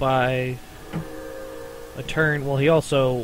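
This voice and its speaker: Flat and monotone, a man's voice holds a medium pitch. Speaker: card game player. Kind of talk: casual gameplay commentary.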